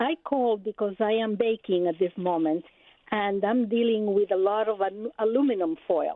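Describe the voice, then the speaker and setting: A woman with a non-native accent, fairly high pitch and very even loudness. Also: ordinary pitch variation, moderate pace. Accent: noticeable non-native. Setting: phone call.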